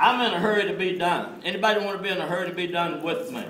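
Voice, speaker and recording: Audible room echo and noticeable background noise surround a man speaking at a high pitch. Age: 70s. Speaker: network marketing trainer. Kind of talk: motivational training talk. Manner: animated.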